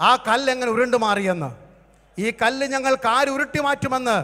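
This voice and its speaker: A man speaks with an extremely high pitch and ordinary pitch variation. The background is quiet. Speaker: pastor. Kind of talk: sermon. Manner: animated. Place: stage. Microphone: handheld.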